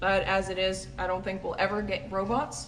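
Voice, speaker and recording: Audible room echo and noticeable background noise accompany a woman speaking at a moderate pace. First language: Dutch. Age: 20s. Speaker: dairy farmer. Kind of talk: Q&A vlog, casual answers.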